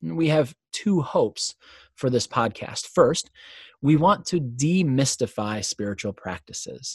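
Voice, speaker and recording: Somewhat breathy and fairly high-pitched, a man talks at a fairly slow pace with very wide pitch swings, in a dry, close sound with no echo. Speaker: podcast host. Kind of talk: podcast introduction, conversational.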